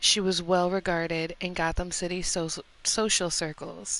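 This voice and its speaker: Against a quiet background, a woman speaks at a fairly low pitch in a bright, sharp tone with monotone, flat intonation. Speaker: ASMR streamer. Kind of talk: reading aloud on live stream. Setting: live stream. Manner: halting, stumbling over words; soft ASMR delivery.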